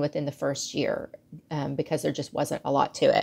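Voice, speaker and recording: A woman against a quiet background. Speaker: guest. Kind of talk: casual talk to camera. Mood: relaxed, reflective. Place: home room. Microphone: earbuds.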